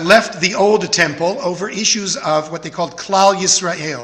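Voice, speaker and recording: A high-pitched man with an American accent, with audible room echo and noticeable background noise. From Texas, Houston. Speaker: rabbi. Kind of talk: sermon.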